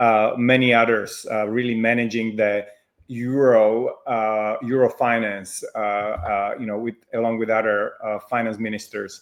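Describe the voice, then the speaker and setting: Speaking at a fairly slow pace with a Slovak accent, a man keeps a medium pitch and a monotone, flat intonation. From Slovakia. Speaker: fintech founder and CEO. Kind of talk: interview.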